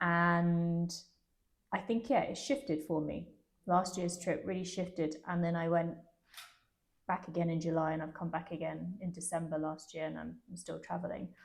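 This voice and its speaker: Speaking with an English accent, a woman talks at a moderate pace in a fairly low, somewhat breathy voice with fairly even intonation. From London, England. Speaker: travel interview guest. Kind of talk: interview.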